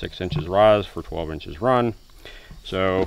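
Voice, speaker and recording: Fairly low in pitch, a man speaks with ordinary pitch variation. The sound is dry with no echo, and there is noticeable background noise. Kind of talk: tutorial. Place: street. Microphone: phone near.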